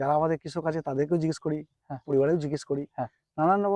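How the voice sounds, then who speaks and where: A man with a plain, everyday voice, fairly high pitch and fairly even intonation. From West Bengal, Nadia district. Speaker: college teacher and new jackfruit farmer. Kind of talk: interview.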